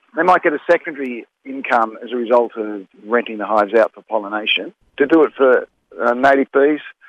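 A man's normal speaking voice at medium pitch, fairly quick in pace, with big swings in loudness. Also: ordinary pitch variation. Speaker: native beekeeper. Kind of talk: recorded interview explaining an industry problem.

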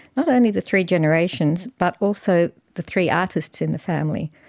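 With an Australian accent, a woman speaks at a moderate pace in a fairly low pitch, with ordinary pitch variation and a dark, mellow tone. The sound is dry and close with no echo, on a very clean recording with a silent background. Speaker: artist and academic. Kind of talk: interview.

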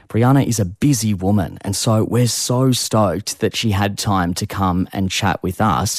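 A man with an Australian accent at a fairly low pitch and moderate pace, ordinary pitch variation, hardly any pauses, dry, close sound with no echo, and a very clean recording with a silent background. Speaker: youth radio host. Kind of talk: radio chat show. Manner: upbeat.

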